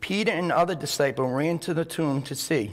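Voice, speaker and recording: A man uses an ordinary speaking voice, keeping a moderate pace and ordinary pitch variation. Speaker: church member; speaker. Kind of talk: reading aloud. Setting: church. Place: church. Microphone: podium.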